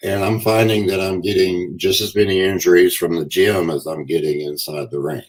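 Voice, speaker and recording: A man's very deep, low voice at a fairly quick pace, with ordinary pitch variation and hardly any pauses. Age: 60s. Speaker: pro wrestler. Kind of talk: podcast interview. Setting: live stream.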